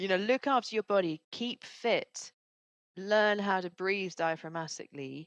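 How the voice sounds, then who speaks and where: The background is quiet as a woman speaks in a calm tone. Her pitch variation is ordinary. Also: medium pitch for a woman, moderate pace, dry, close sound with no echo. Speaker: speaker coach and author. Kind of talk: podcast interview. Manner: calm pace.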